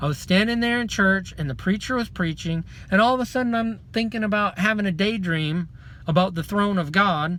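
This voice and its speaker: Raised and projected, a man's high voice carries a bright, sharp tone with ordinary pitch variation. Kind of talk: testimony. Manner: loud; fast.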